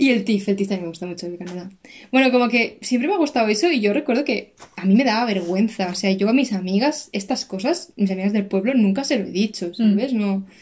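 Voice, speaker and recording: The speaker talks at a very fast pace, somewhat breathy, with lively intonation. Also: woman, fairly high pitch for a woman. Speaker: podcast co-host. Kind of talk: casual chat. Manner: animated.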